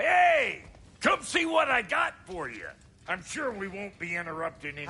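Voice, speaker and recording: A man shouts in a put-on character voice pitched high. His pace is moderate. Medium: video game. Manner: brash, folksy, sarcastic.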